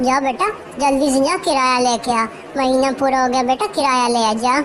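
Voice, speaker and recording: A cartoonish character voice, female-sounding, at a moderate pace over loud background noise. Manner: pushy, demanding.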